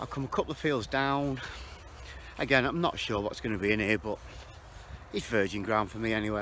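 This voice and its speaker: The sound is dry with no echo and light background noise. A man speaks at a fairly quick pace. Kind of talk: casual vlog chat. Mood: jokey, relaxed. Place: open country. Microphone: phone near.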